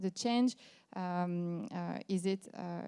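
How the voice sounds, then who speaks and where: A woman with a French accent speaks in a dark, mellow tone and fairly even intonation, on a very clean recording with a silent background. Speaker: company founder, panel moderator. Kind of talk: panel moderation. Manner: halting.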